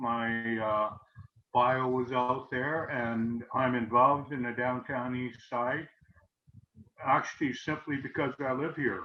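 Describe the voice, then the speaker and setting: A man talks at a very slow pace. His medium-pitched voice keeps fairly even intonation. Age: 70s. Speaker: retired community organiser. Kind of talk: panel talk on video call. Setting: video call. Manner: halting, many fillers.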